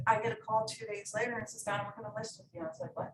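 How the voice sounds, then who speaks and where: Lively intonation from a woman, her voice somewhat breathy. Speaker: real estate agent. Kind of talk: training presentation.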